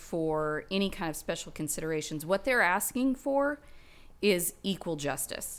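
Talking at a fairly slow pace with an American accent, a woman with a medium pitch and an ordinary speaking voice is heard on a very clean recording with a silent background. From Oklahoma. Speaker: political candidate and nurse practitioner. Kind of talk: casual interview.

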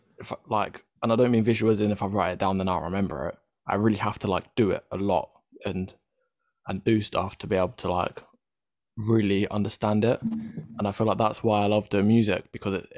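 A man with an English accent, fairly low in pitch, fairly quick in pace, and monotone and flat in intonation. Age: 20s. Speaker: podcast host. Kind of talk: casual chat.

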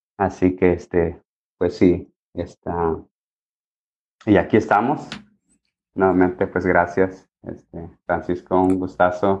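A man speaks at a very slow pace, his pitch very deep and low. His intonation stays monotone and flat, broken by long, frequent pauses. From Mexico, Michoacán (Cherán). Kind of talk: interview testimony. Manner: halting, many fillers and repetitions.

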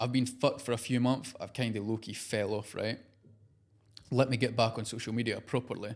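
A fairly quick, animated delivery with a Scottish accent. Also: man, medium pitch for a man. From Scotland. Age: 20s. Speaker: social media creator and clothing entrepreneur. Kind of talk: casual interview chat. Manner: casual, animated, swearing.

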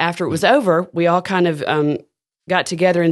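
A woman with a Southern US accent, very fast pace, fairly even intonation, quiet background. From Alabama (Decatur). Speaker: school arts education director. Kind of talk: casual interview.

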